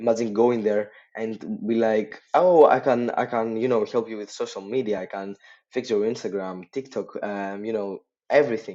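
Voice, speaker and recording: The speaker talks at a moderate pace in a non-native accent, with fairly even intonation. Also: man. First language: not English. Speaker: social media marketing agency owner. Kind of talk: casual tutorial talk to camera. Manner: hesitant, lots of filler words.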